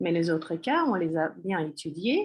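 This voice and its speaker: A woman with a Russian accent speaks at a fairly slow pace and medium pitch, her intonation lively, over a quiet background. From Russia, Moscow. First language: Russian (speaking French). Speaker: Russian language teacher. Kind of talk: course presentation. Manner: hesitant, many fillers.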